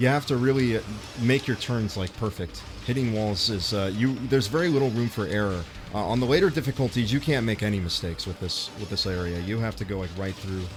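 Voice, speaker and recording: Music plays in the background as a man talks at a very fast pace with an American accent. His pitch is fairly low, with ordinary variation. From US, Los Angeles. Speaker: YouTuber and game streamer. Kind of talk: casual livestream chat. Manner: casual, many fillers.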